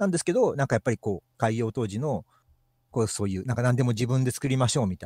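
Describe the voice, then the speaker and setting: A man's dark, mellow, somewhat breathy voice at a very fast pace, with lively intonation and big swings in loudness, in a dry, close sound with no echo and a very clean recording against a silent background. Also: medium pitch for a man. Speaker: maker who performs with a puppet skeleton. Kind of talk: casual chat. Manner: halting, many fillers.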